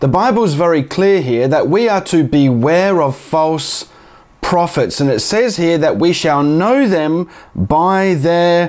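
Lively intonation marks this fairly slow delivery, set against a quiet background. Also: man. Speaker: bible teaching youtuber. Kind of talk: sermon-like commentary. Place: home room. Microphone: lapel.

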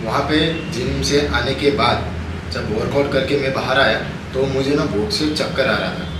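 A man speaks at a moderate pace with ordinary pitch variation. Audible room echo and noticeable background noise surround him. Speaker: fitness vlogger. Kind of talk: casual vlog chat. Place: kitchen. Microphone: phone near.

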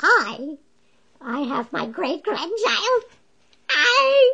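Using a cartoonish character voice, a man speaks at an extremely high pitch. He goes very slowly, with very wide pitch swings. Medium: puppet.

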